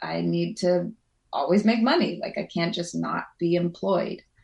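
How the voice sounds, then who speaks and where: A woman talks at a fairly slow pace with vocal fry. Her pitch is medium. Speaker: mountain guide; counsellor. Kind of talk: interview answer.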